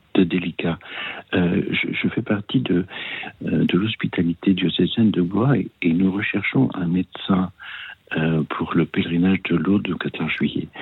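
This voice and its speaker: A man with a very deep, low pitch, fairly slow delivery and long, frequent pauses. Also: ordinary pitch variation. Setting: phone call. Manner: hesitant, halting.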